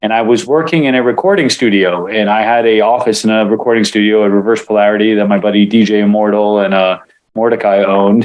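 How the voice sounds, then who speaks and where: Very fast and very even in loudness, a man speaks with a fairly low pitch. His intonation stays fairly even. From Israel, moved to US at seven. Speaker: martial arts instructor and acupuncturist. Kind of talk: interview. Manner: casual with many fillers.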